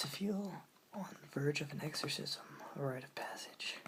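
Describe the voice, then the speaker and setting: Whispered words come at a fairly slow pace, with noticeable background noise underneath. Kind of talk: ASMR poetry reading. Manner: soft-spoken, whispering.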